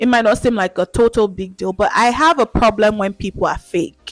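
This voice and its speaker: A woman speaks at a fairly high pitch with ordinary pitch variation, her voice dry and close with no echo while music plays in the background. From Nigeria. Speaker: YouTube vlogger. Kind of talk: casual talk to camera.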